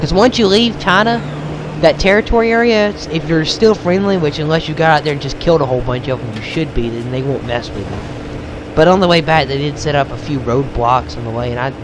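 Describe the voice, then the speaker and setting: Over noticeable background noise, a man talks at a fairly quick pace in a fairly high pitch with very wide pitch swings. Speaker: gaming video creator. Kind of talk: let's play commentary. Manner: hesitant, many fillers.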